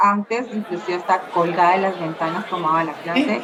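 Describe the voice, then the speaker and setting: Bright, sharp tone from a woman at medium pitch and a moderate pace. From Colombia, Bogotá. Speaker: social worker and labor relations graduate. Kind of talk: interview.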